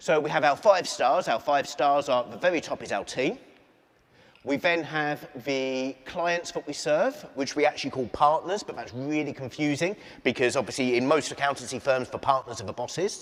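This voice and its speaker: A man with an Essex accent, fairly high in pitch, at a moderate pace with ordinary pitch variation. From England (Essex). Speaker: keynote speaker, entrepreneur. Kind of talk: keynote speech. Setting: stage with large audience.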